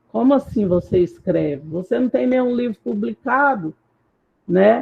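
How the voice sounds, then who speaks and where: A woman speaks with lively intonation. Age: 50s. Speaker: academic discussion participant. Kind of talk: roundtable discussion. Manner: halting, with many repetitions.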